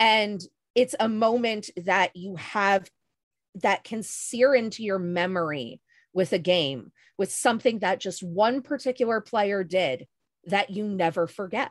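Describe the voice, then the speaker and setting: Against a quiet background, a woman speaks at a fairly slow pace in a medium pitch. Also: ordinary pitch variation. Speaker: LARP storyteller and game company co-founder; panelist. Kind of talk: panel discussion. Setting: video call. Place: home room. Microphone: video call.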